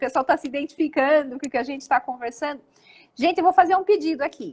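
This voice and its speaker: Recorded with a dry, close sound and no echo, a woman speaks in a high voice with ordinary pitch variation. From Brazil, Jundiaí / Curitiba. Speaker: live stream host, wedding business coach. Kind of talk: casual live chat. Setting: live video stream.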